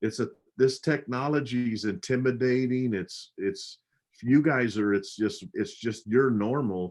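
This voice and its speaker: A man in a plain, everyday voice speaks at a fairly slow pace with medium pitch and ordinary pitch variation. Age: 60s. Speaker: pastor. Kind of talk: casual chat. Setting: livestream.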